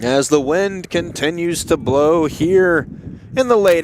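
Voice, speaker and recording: Someone with an American accent talks at a very slow pace over noticeable background noise. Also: man. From US South, Louisiana. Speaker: college baseball play-by-play announcer. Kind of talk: live sports commentary. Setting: outdoors at ballpark.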